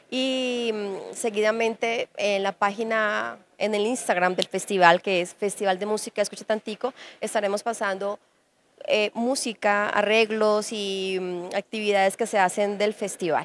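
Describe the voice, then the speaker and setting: A woman speaks at a fairly slow pace with monotone, flat intonation. The sound is dry with no echo, over light background noise. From Colombia, Huila; Colombia. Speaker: musician and festival director. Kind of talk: interview. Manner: hesitant with many fillers. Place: hall. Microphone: handheld.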